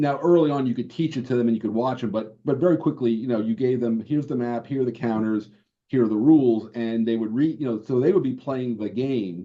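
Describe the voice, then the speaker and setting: Speaking with a New York accent, a man of medium pitch moves at a fairly quick pace with ordinary pitch variation. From New York, Brooklyn. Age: 70s. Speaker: board game designer. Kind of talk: interview.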